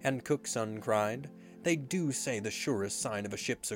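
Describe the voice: This clip is plain reading aloud. The voice simply reads the text.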